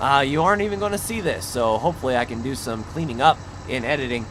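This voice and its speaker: This man's pitch swings very widely as he talks at a fairly quick pace over noticeable background noise. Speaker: gaming video creator. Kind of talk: gameplay commentary.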